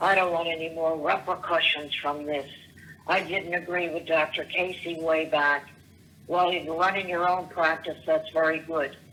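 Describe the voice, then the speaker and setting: Against noticeable background noise, a woman speaks at a moderate pace in a fairly low pitch with monotone, flat intonation. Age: 70s. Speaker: voicemail caller. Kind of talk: voicemail rant. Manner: rambling, halting.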